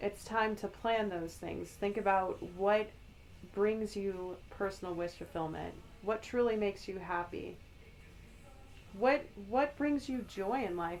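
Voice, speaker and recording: A woman with a plain, everyday voice at medium pitch speaks at a fairly slow pace with fairly even intonation. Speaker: tarot reader, spiritual guide. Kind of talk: ASMR tarot reading for the collective.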